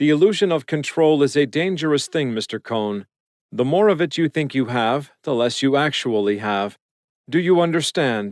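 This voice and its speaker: A man puts on a squeaky, robotic character voice with a fairly high pitch, speaking at a moderate pace. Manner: calm, measured, lecturing.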